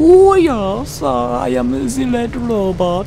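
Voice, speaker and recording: A put-on character voice, female-sounding, at a medium pitch and a very slow pace, over clear background noise. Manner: mock, comic.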